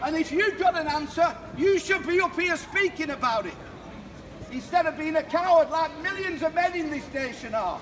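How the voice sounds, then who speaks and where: A loud man's voice at an extremely high pitch, with ordinary pitch variation, a moderate pace and light background noise. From England. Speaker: street preacher. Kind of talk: open-air street preaching. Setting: outdoors, street. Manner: loud, forceful, exhortative. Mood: confrontational, emotional. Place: street. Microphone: camera far.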